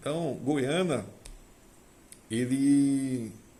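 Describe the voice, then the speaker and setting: A man's voice carries audible room echo. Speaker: agricultural technician and vine grower. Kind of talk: casual monologue to camera.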